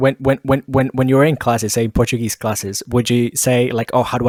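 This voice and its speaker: Recorded dry and close with no echo and a very clean, silent background, a man speaks very fast at medium pitch with fairly even intonation. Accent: Colombian. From Colombia. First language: Spanish. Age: 20s. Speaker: podcast host. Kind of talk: casual chat. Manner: halting, repeats words.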